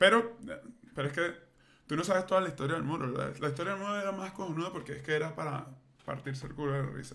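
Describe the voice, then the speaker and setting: A man's fairly high, bright and sharp voice with vocal fry, ordinary pitch variation, a very fast pace and audible room echo. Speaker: podcast co-host. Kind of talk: casual chat.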